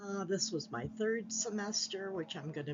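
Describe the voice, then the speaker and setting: The speech is fairly slow and somewhat breathy, with lively intonation. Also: woman. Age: 60s. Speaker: graduate student vlogger. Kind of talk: casual vlog advice.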